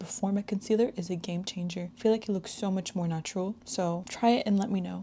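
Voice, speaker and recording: Speaking at a very fast pace, a woman uses a medium pitch, fairly even intonation and a dark, mellow, somewhat breathy tone. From Quebec, Canada. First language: French. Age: 20s. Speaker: beauty vlogger. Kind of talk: makeup tutorial with casual chat. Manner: casual, chatty.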